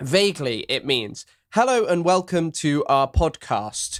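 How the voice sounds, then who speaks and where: With an English accent, the speaker uses lively intonation on a very clean recording with a silent background. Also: man. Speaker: podcast co-host. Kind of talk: casual chat.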